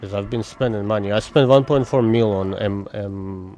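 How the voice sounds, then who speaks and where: A man with a non-native accent, fairly low in pitch, amid noticeable background noise. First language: not English. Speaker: gaming streamer. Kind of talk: casual live-stream gameplay chat. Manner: casual, thinking aloud with fillers.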